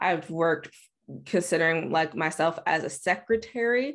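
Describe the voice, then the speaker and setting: With an ordinary speaking voice, a woman talks at a moderate pace with lively intonation against a quiet background. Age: 20s. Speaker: podcast host. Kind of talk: solo monologue podcast. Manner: casual, conversational.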